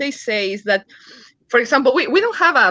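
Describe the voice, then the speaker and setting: A woman with a Uruguayan accent speaks in a bright, sharp tone. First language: Spanish. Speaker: comic book creator. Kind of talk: interview on live stream. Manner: halting.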